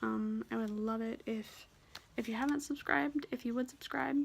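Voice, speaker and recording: Quietly, a woman talks at a moderate pace. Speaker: cross stitch vlogger. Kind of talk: casual chat.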